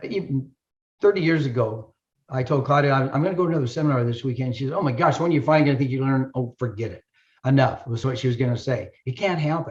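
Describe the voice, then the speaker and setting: Somewhat breathy and very fast, a man talks at a medium pitch with ordinary pitch variation. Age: 70s. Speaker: chiropractor and health educator. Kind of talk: promotional talk. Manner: animated.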